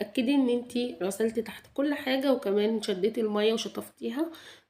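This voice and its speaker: Fairly high in pitch, a woman speaks at a moderate pace with a dark, mellow tone. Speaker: home vlogger. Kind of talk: cleaning routine vlog narration. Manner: halting, many restarts.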